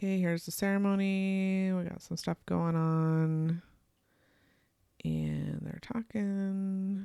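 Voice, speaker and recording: On a very clean recording with a silent background, a woman speaks. Her pace is very slow. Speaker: photographer and Lightroom educator. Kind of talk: screen-share tutorial. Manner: casual, thinking aloud.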